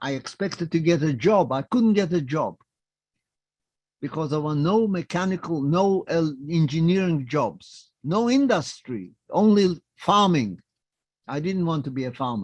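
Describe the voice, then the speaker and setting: In a quiet background, a man talks at a fairly slow pace with a non-native accent. His high voice has lively intonation. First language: not English. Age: 90s. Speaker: Holocaust survivor. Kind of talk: testimony. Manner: short simple sentences.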